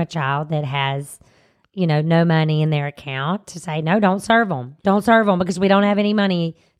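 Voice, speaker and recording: A woman speaks at a moderate pace with a Southern US accent. Her intonation is lively. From US South. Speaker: teacher, co-host. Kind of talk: casual chat.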